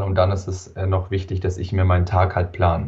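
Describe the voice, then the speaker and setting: A man with a very deep, low pitch and a somewhat breathy voice speaks in a monotone, flat intonation. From southern Germany, Allgäu (Wangen). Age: 20s. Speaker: entrepreneur, biohacker. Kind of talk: interview.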